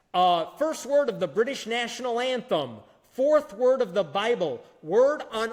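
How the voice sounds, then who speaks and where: With an American accent, a man speaks at an extremely high pitch with lively intonation. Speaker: speaker at atheist conference. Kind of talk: conference talk.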